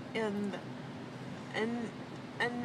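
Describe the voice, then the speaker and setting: A woman talks over loud background noise. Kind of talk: casual chat. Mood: rambling, slightly hesitant. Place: car. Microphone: phone near.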